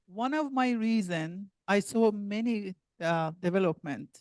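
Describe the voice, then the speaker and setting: Recorded dry and close with no echo, a woman with a non-native accent speaks at a medium pitch. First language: not English. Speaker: community resident speaking at public comment. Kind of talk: public comment. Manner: halting.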